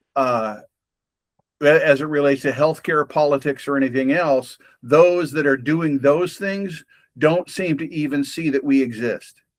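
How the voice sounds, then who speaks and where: On a very clean recording with a silent background, a man with a plain, everyday voice and a fairly high pitch talks at a moderate pace with ordinary pitch variation. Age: 60s. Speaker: podcast host. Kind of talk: casual conversation. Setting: having coffee with a friend.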